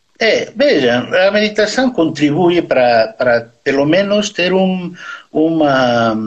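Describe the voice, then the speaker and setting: A fairly high-pitched man with a Bolivian accent, very wide pitch swings, and noticeable background noise. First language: Spanish (speaking Portuguese). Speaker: neurosurgeon. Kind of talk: interview. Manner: halting.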